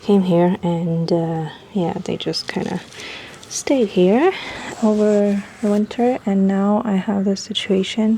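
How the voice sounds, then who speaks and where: Over noticeable background noise, a woman talks very slowly in a medium pitch with fairly even intonation. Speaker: lifestyle vlogger. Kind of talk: casual vlog talk to camera. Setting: outdoors on balcony at night. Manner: quiet, talking softly.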